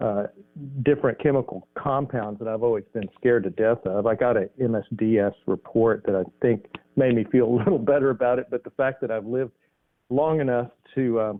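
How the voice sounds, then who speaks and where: This man talks at a fairly quick pace and a medium pitch, with ordinary pitch variation. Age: 60s. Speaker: neon artist. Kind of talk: interview. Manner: halting, many fillers.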